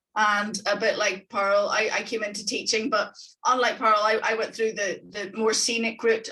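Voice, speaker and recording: A woman with a Northern Irish accent, medium in pitch. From Northern Ireland. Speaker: economics tutor. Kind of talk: webinar presentation. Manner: enthusiastic.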